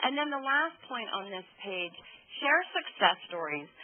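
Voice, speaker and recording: Noticeable background noise behind a woman's voice at a moderate pace. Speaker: opinion researcher presenting findings. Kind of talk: webinar presentation. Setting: conference call webinar.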